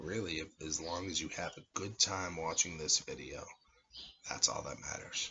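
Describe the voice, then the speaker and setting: Very deep, low male voice, quiet, with fairly even intonation, big swings in loudness and a moderate pace. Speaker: amateur cigar and wine reviewer. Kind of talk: casual vlog monologue. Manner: talking quietly; halting, filler-heavy. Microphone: no microphone, camera audio.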